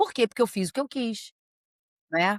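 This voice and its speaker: No echo is heard, and the sound stays dry and close. Behind it, all is quiet. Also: woman. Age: 60s. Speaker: psychologist. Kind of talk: interview.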